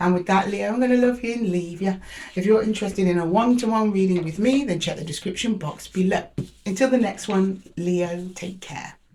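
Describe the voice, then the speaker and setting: Lively in intonation and somewhat breathy, a woman speaks at medium pitch. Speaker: tarot reader. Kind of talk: tarot reading.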